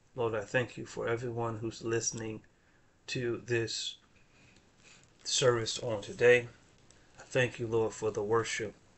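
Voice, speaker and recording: The man's flat, monotone delivery sits at a medium pitch. He speaks at a fairly slow pace with long, frequent pauses. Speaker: minister leading prayer. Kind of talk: prayer.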